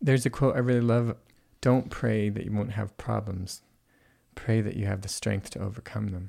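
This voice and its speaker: In a very clean recording with a silent background, a man with a fairly low pitch and a warm, dark, mellow tone speaks at a moderate pace with fairly even intonation. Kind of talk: reflective conversation. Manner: warm, laughs often.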